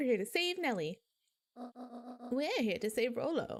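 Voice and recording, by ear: A put-on character voice at a fairly high pitch and a moderate pace.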